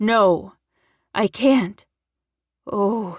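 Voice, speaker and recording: A woman puts on a raspy character voice at a medium pitch, with ordinary pitch variation. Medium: read story. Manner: pleading, frantic.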